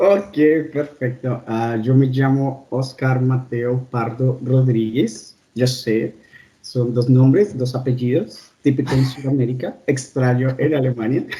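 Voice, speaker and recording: Speaking at a very slow pace, a man with a medium pitch has a dark, mellow tone, a somewhat breathy quality and fairly even intonation. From Colombia. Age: 30s. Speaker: doctor. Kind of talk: interview.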